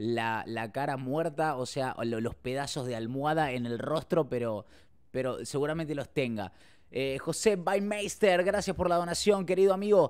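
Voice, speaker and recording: Pitched fairly high, a man speaks at a moderate pace in an animated tone with lively intonation. The recording is very clean, with a silent background. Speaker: streamer. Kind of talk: live stream chat and video reactions.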